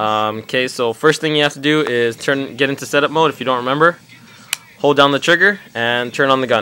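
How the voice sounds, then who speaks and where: A fairly high-pitched man at a fairly quick pace, with ordinary pitch variation and noticeable background noise. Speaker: paintball hobbyist video maker. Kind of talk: tutorial. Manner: fast; casual, hesitant with many ums.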